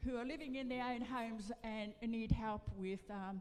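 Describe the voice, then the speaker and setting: A woman speaks at a fairly slow pace with a high-pitched voice. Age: 80s+. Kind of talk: public meeting address. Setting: meeting room with audience. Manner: halting.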